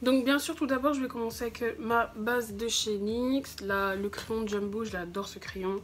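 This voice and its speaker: A woman with a plain, everyday voice, fairly high pitch, ordinary pitch variation, a fairly slow pace and hardly any pauses. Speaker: beauty youtuber. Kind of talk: makeup tutorial.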